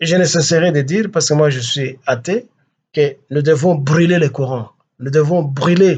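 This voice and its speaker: This man talks at a fairly slow pace. His pitch is fairly high, with ordinary variation. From DR Congo. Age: 60s. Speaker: political activist. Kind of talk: political address. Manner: halting.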